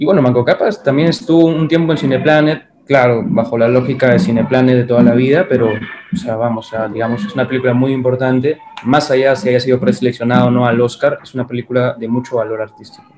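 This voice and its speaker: A man speaks very fast with hardly any pauses. Noticeable background noise runs underneath. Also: medium pitch for a man, ordinary pitch variation. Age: young. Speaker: film critic and filmmaker. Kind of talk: interview.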